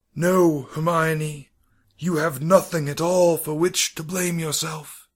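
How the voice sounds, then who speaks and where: A man does a put-on character voice, raspy and fairly high-pitched, in a flat monotone. He speaks fairly slowly on a very clean recording with a silent background. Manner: gentle, kind, reassuring.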